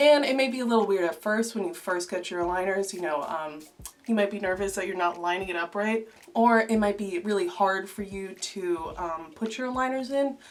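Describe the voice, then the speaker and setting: Over background music, a woman talks at a fairly quick pace. Her pitch sits in the middle range. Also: ordinary pitch variation. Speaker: video creator. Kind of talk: tutorial. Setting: voiceover recorded separately. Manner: casual, filler-heavy.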